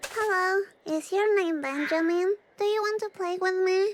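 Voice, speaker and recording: A woman's put-on character voice, extremely high and playful, at a moderate pace with fairly even intonation. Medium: video game. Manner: bright, playful, innocent.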